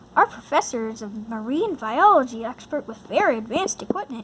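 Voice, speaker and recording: A woman puts on a character voice, pitched high and moving at a fairly quick pace. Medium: read story. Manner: firm, direct.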